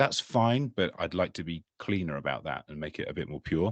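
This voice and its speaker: A man with an English accent and a very deep, low pitch at a moderate pace, dry and close with no echo, against a quiet background. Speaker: tech conference speaker, developer experience lead. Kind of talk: technical presentation. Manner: hesitant, many fillers.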